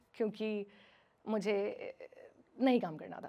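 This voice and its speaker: A woman's fairly high-pitched voice. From Himachal Pradesh, India. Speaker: radio jockey. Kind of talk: motivational stage talk.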